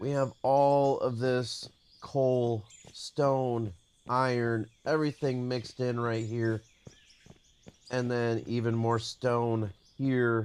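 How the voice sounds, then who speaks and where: Very slowly and with long, frequent pauses, a man speaks at a medium pitch in a monotone, flat intonation. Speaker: gaming streamer. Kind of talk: live gameplay commentary. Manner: casual, with many fillers.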